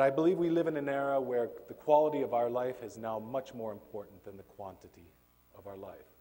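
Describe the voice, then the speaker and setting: Fairly quick and dark and mellow in tone, a man's medium-pitched voice shows ordinary pitch variation and big swings in loudness. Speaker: professor. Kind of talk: lecture. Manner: hesitant fillers.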